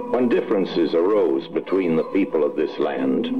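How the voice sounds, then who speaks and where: A man is speaking. Music plays in the background. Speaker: narrator. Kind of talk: animated short film narration.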